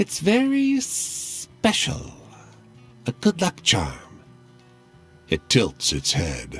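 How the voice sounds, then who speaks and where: Against hissing and faint background music, a man speaks very slowly in a put-on character voice. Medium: game stream. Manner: sly, hissing.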